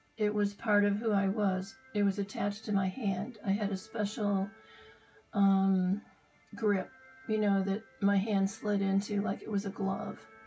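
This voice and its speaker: A woman speaks at a medium pitch in a flat, monotone delivery while music plays in the background. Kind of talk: casual personal storytelling. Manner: hesitant, many filler words.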